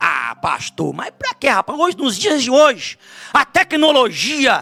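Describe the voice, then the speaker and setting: Recorded with a dry, close sound and no echo, a man speaks at a fairly slow pace and an extremely high pitch. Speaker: visiting pastor. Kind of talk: sermon. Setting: church.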